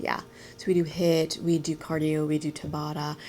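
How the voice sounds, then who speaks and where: Monotone, flat intonation over music in the background. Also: woman. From United States (born in Vietnam). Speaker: startup founder. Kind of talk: interview. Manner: halting.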